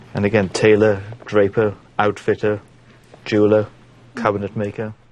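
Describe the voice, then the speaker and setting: A man's fairly low voice at a moderate pace, monotone and flat, with a South Welsh accent. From Port Talbot, South Wales. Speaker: stand-up comedian. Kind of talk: documentary interview talk.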